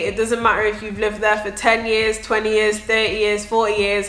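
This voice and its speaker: Animated and fairly high in pitch, a woman speaks at a fairly quick pace amid audible room echo and noticeable background noise. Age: 20s. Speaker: property investor YouTuber. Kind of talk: casual explainer vlog.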